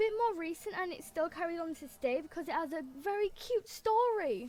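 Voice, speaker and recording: A woman speaks with an English accent. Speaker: gaming YouTuber. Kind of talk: casual gameplay commentary. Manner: animated.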